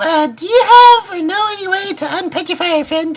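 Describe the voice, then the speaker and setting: In a put-on character voice, a woman squeaks at an extremely high pitch and a fairly quick pace, her loudness swinging widely. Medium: actual play. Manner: hesitant, halting.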